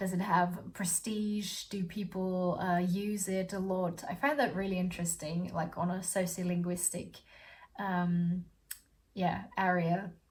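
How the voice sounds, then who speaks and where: A woman's somewhat breathy voice at medium pitch, fairly slow and monotone with flat intonation. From Austria. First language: German. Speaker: student vlogger. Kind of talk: casual vlog talk. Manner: halting, many fillers and repeats.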